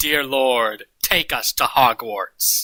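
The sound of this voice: Someone uses a put-on character voice at a low-to-middle pitch.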